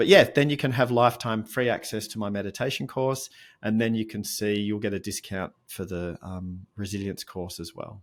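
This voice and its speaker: A man with an Australian accent speaks at a moderate pace with hardly any pauses, his fairly low pitch moving with ordinary variation while his loudness swings widely, on a very clean recording with a silent background. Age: 50s. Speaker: mindfulness coach and author. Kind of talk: interview conversation.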